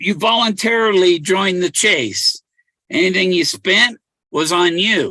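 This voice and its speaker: Speaking at a very slow pace with an American accent, a man uses a raised, projected voice that is high in pitch and bright and sharp in tone, with ordinary pitch variation. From California. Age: 60s. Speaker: treasure hunter and livestreamer. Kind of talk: casual livestream monologue. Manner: halting, many repetitions and restarts.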